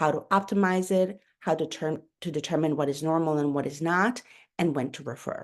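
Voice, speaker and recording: A woman speaks with a Spanish accent and ordinary pitch variation. Behind her, the background is quiet. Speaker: pediatrician. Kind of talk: webinar lecture. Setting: online webinar. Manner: hesitant, with fillers and self-corrections.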